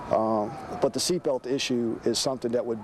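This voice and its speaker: Speech with fairly even intonation, set over noticeable background noise. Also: man. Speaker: school transportation official interviewed. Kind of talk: interview answer.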